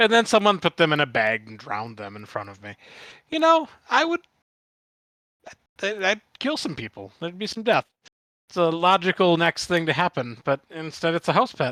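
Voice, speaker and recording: A man with an American accent speaks at a moderate pace with a high pitch, a bright, sharp tone, very wide pitch swings and big swings in loudness, plus long, frequent pauses. The recording is very clean, with a silent background and a dry, close sound with no echo. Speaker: podcast guest co-host. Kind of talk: casual chat. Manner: halting.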